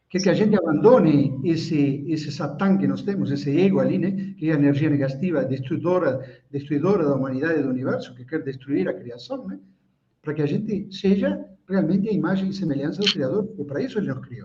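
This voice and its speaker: With audible room echo, a man speaks at a fairly quick pace and fairly high pitch, his intonation lively and his loudness swinging widely. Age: 60s. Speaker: Kabbalah teacher. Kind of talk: lecture. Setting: live stream video call.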